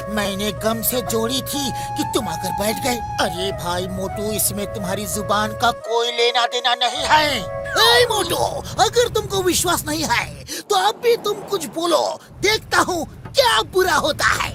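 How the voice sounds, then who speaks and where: A cartoonish character voice at a moderate pace, with clear music in the background. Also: man. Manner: rational, friendly.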